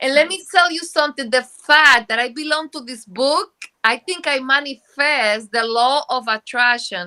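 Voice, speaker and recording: A woman with a Spanish accent speaks at a moderate pace in a high, bright, sharp voice that is raised and projected, with big swings in loudness and ordinary pitch variation, on a very clean, dry, close recording with a silent background and no echo. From Dominican Republic. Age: 50s. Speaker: book co-author. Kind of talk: interview. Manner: halting.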